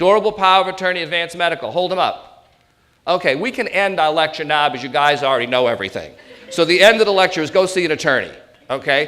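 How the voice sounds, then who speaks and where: Raised and projected, a man's high, bright, sharp voice moves at a very fast pace with ordinary pitch variation. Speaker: elder law attorney. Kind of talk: seminar presentation. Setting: stage with audience. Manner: animated.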